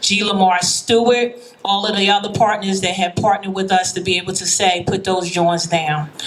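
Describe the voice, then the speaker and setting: With a Philadelphia accent, a woman speaks at a moderate pace and with fairly even intonation over noticeable background noise. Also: medium pitch for a woman. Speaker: high school principal. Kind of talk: rally speech. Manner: loud.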